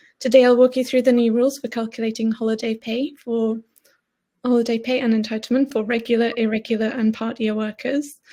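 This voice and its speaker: With a Geordie accent, a woman talks at a fairly quick pace with a fairly high pitch. Her tone is dark and mellow, and her intonation monotone and flat. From northern England, Newcastle area. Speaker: payroll expert. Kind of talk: webinar presentation. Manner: fast.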